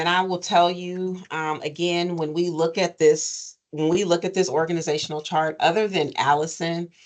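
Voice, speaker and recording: Speaking with a plain, everyday voice, a woman keeps a fairly low pitch, fairly even intonation and a moderate pace with hardly any pauses. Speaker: nonprofit program administrator. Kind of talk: advisory meeting presentation.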